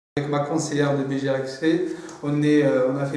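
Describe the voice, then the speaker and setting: This man's voice sits fairly high and stays monotone and flat at a moderate pace. Noticeable background noise and audible room echo fill the recording. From Algeria. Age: 30s. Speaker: student entrepreneur. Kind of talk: testimony. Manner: halting, many repetitions and hesitations.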